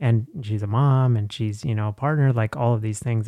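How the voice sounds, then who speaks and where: A man with an American accent, an unremarkable speaking voice, medium pitch, ordinary pitch variation and a fairly quick pace. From Texas. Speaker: psychologist and podcaster. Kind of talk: interview. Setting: remote recording.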